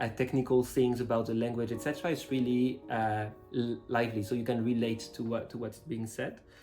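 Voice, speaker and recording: A man with a French accent, medium pitch, fairly even intonation and a fairly quick pace, music in the background. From France. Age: 30s. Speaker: language student. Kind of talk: interview answers. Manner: hesitant, many filler words.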